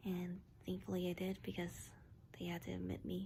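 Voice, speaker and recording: Soft-spoken, a woman talks at a moderate pace. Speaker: vlogger. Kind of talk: casual vlog. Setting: hospital room. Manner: halting.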